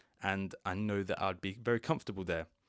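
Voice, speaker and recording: This man has a fairly low voice and ordinary pitch variation, recorded very cleanly against a silent background. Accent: British. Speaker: English teacher. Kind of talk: podcast monologue. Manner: slow and clear.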